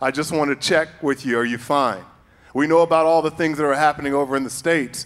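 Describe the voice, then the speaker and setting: With an American accent, a man speaks at a fairly high pitch. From Chicago. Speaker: actor. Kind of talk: panel discussion.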